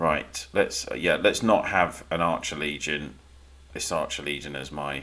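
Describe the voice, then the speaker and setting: Fairly slow speech comes from a man. He has a British accent. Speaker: gaming livestreamer. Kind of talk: live stream commentary. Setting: live stream. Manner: casual, rambling.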